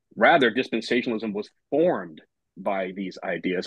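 Speech at a fairly quick pace with ordinary pitch variation sounds dry with no echo against a quiet background. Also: man. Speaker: seminary professor. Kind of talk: panel discussion. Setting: video call. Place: home room. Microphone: video call.

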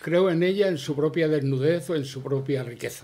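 In a strong Andalusian accent, a man speaks at a fairly high pitch with a dark, mellow, somewhat breathy tone and fairly even intonation. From Andalusia, Spain. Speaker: veteran journalist, award winner. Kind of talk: award acceptance speech. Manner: halting.

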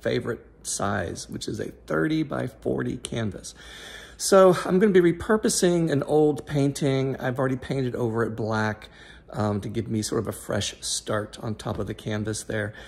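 Using lively intonation, a man speaks at a moderate pace. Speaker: fluid art hobbyist vlogger. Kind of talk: casual vlog chat. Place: home room. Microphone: phone near.

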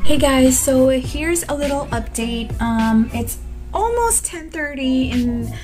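Clear music plays in the background while a woman talks very slowly. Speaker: voice actor. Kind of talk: casual talk to camera. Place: home room. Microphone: phone near.

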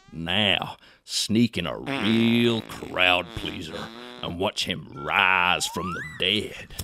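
A man puts on a raspy character voice with a Texan accent, pitched very deep and low. He talks at a very slow pace. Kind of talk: comedic instructional narration. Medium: cartoon.

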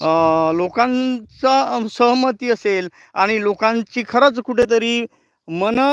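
The man's pitch is extremely high, with ordinary variation. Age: 40s. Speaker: news channel editor and farmer. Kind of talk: live editorial commentary. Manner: halting, many pauses.

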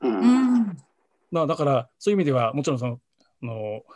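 Somewhat breathy and fairly high-pitched, a man speaks with lively intonation against a quiet background. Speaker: freelance journalist. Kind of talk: video discussion. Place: home room. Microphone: video call.

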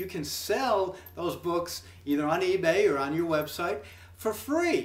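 A man with an American accent and very wide pitch swings, amid audible room echo. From United States. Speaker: YouTube personality. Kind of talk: promotional vlog. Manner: casual, halting. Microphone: webcam.

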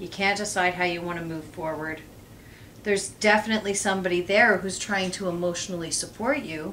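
Light background noise sits behind a woman speaking at a fairly quick pace. Her pitch variation is ordinary. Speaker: tarot reader. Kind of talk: tarot reading commentary. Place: home room. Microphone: camera far.

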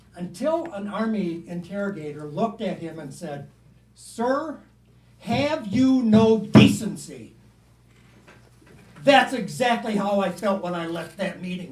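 A man with a high pitch talks with long, frequent pauses and big swings in loudness. Audible room echo and noticeable background noise surround his voice. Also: lively intonation, fairly slow pace. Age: 70s. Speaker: public commenter at council meeting. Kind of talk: public comment. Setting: council meeting.

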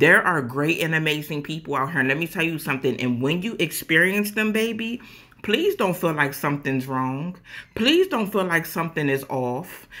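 Against a quiet background, a woman with a bright, sharp tone and fairly low pitch talks at a moderate pace with lively intonation. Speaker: social media creator. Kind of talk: casual vlog chat, motivational. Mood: earnest, heartfelt, emphatic. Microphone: phone near.

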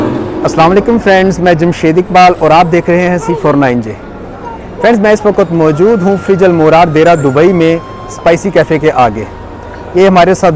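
Against light background noise, a man speaks fairly slowly at a high pitch with ordinary pitch variation, in a dry sound with no echo. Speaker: food vlogger. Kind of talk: casual vlog chat. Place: street. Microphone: phone near.

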